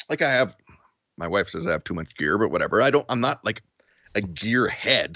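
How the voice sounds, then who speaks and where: The speaker has a Western Canadian accent, vocal fry and very wide pitch swings. The pace is moderate, with a dry, close sound with no echo. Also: man. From Vancouver Island, Canada (Duncan, BC). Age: 40s. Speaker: video creator and podcaster. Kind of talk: casual interview chat. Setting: remote call.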